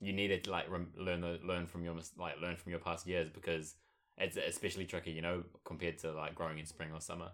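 A man with a very deep, low pitch talks at a very fast pace in a monotone, flat way. The recording is very clean, with a silent background. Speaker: podcast co-host. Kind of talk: casual chat.

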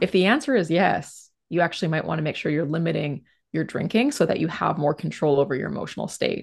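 Against a quiet background, a woman talks at a very fast pace with ordinary pitch variation. Her voice is very deep and low, with vocal fry. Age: 30s. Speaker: psychologist and couples therapist. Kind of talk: podcast interview.

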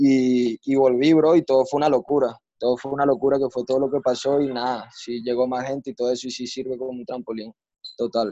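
A man talks at a fairly quick pace with a Venezuelan accent. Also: medium pitch for a man, fairly even intonation, dry, close sound with no echo. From Venezuela, Maracay. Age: 20s. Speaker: freestyle rapper. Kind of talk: casual interview.

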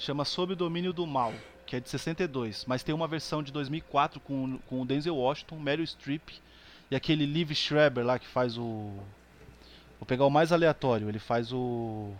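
An ordinary speaking voice moves at a fairly slow pace with ordinary pitch variation and big swings in loudness. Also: man, fairly high pitch for a man. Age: 30s. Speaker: podcast guest. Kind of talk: casual chat.

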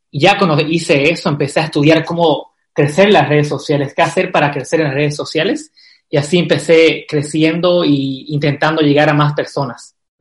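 The delivery is monotone and flat. A man speaks at a fairly quick pace. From Bolivia, Santa Cruz. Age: 20s. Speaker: travel blogger. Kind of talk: interview. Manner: halting, repeats words.

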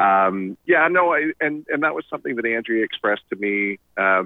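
A man with a normal speaking voice keeps a moderate pace and lively intonation. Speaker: financial advisor. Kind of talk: casual chat.

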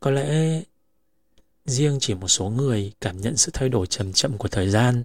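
A somewhat breathy man with a medium pitch and a calm tone speaks at a fairly slow pace with lively intonation, the sound dry and close with no echo. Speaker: podcast host. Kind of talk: reflective monologue.

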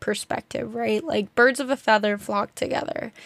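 A woman with a normal speaking voice and an American accent talks at a fairly high pitch with ordinary pitch variation, recorded with a dry, close sound and no echo. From New Jersey. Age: 20s. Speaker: podcast host. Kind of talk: casual solo talk. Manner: talkative, filler-heavy.

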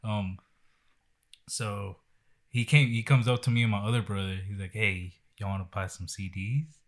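With a Texan accent, a man speaks in a fairly low pitch, leaving long, frequent pauses. The recording is very clean, with a silent background. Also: ordinary pitch variation, moderate pace. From Texas. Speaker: podcast host. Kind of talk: casual chat.

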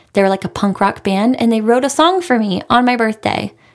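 A woman's fairly high-pitched voice with an American accent at a moderate pace. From US South, Raleigh, North Carolina. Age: 30s. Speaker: podcast host. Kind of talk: casual solo monologue answering listener questions. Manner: animated.

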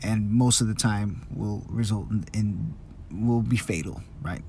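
There is audible room echo as a man speaks, somewhat breathy. His fairly low voice shows ordinary pitch variation. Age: 20s. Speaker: solo podcaster. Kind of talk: casual monologue. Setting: in a car. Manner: halting, many fillers and repetitions.

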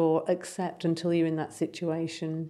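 Her pitch fairly low and her tone dark and mellow, a woman talks with an English accent. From England. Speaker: palliative care nurse. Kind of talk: interview.

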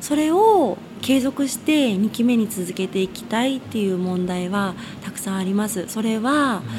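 A woman's fairly high voice with lively intonation, set against noticeable background noise. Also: moderate pace. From Tokyo, Koto ward. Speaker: local politician. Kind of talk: radio interview. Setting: radio studio.

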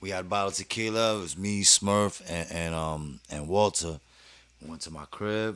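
A man with a very deep, low pitch and ordinary pitch variation, moderate in pace, with big swings in loudness. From New York, Brooklyn. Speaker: rapper. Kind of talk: casual chat.

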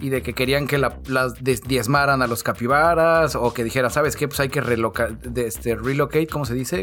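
Speaking at a moderate pace with hardly any pauses, a man shows ordinary pitch variation. Background noise is noticeable. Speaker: podcast co-host. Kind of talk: casual chat. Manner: animated.

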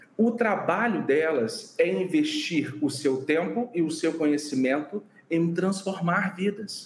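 Speaking very slowly with hardly any pauses, a man uses a high voice with ordinary pitch variation. There is noticeable background noise. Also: very even loudness. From Brazil, interior of Rio de Janeiro state. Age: 30s. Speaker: physician and burnout researcher. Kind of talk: interview.

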